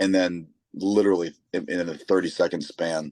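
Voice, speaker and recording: The speaker is a man. He talks with a Michigan accent. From Michigan, Saginaw area. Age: 30s. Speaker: lead singer of a rock band. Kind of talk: interview. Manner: halting, many repeated words.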